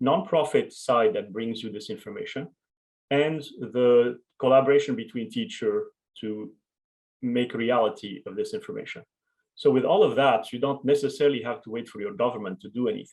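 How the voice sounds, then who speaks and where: Speaking at a moderate pace with a French accent, a man uses a medium pitch with very wide pitch swings and big swings in loudness. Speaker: education researcher and author. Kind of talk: conference Q&A conversation.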